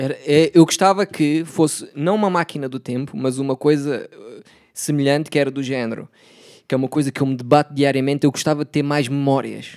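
A man speaks in a plain, everyday voice, fairly high in pitch with fairly even intonation and a fairly quick pace. The recording is very clean, dry and close with no echo and a silent background. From Portugal, Setúbal. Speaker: podcast host. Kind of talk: casual chat.

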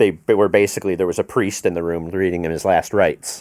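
The speaker is a man. His pitch sits fairly low. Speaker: sound engineer and mentor, touring crew. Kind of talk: casual chat. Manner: rambling, halting.

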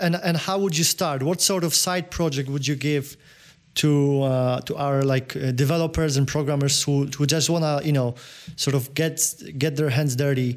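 A man with a Polish accent and a fairly high pitch speaks at a moderate pace with very even loudness. His intonation is fairly even, in a very clean recording with a silent background. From Poland. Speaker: podcast host. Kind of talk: interview. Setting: Las Vegas.

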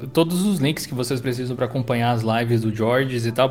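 A fairly quick pace over music in the background. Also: man. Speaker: tech podcast co-host and Linux video creator. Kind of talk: casual chat.

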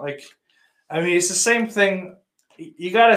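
A man is speaking. He has a western New York accent. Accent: western New York (Inland North) American. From western New York, between Rochester and Buffalo. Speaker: podcast host. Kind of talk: casual livestream chat reading comments. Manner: casual, profane.

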